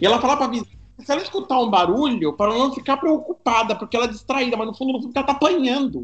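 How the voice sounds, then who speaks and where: At a very fast pace, a man speaks with an extremely high pitch and ordinary pitch variation. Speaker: podcast guest. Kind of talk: casual chat.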